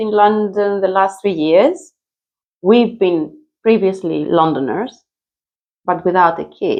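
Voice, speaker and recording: In a Greek accent, a woman speaks with ordinary pitch variation. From Greece. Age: 50s. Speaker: mother. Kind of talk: interview. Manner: loud; animated.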